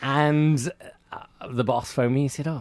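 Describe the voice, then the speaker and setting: The speaker is a man. He talks in a Welsh accent. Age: 30s. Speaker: radio presenter. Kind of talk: casual chat.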